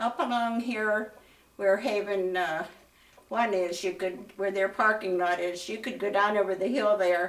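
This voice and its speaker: With a western Pennsylvania accent, a woman speaks at a fairly slow pace and medium pitch, keeping her intonation fairly even. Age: 90s. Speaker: school alumna. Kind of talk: interview. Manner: halting.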